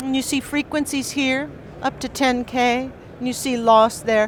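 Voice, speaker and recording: A high-pitched woman's voice comes through noticeable background noise. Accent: American. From United States. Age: 60s. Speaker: professor and record producer. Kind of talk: lecture. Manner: animated.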